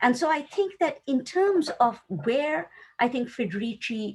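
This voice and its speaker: The speaker has a Tamil accent. The pace is very slow. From South Asia (Tamil-speaking). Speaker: academic panelist. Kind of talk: academic roundtable discussion. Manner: thoughtful, with hesitations.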